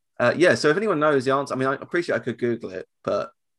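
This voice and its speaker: In a very clean recording with a silent background, a man with an English accent speaks at a very fast pace with ordinary pitch variation. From England. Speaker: podcast host. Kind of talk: casual chat.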